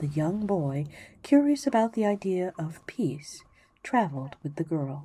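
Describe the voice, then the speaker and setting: Soft-spoken and somewhat breathy, a woman talks at a fairly low pitch and fairly slow pace in a dark, mellow tone with very wide pitch swings. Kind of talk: sleep story.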